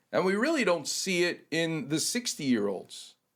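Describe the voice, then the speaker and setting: At a fairly slow pace, a man speaks with a high pitch and very wide pitch swings. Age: 60s. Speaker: orthopedic surgeon. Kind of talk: casual chat. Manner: animated.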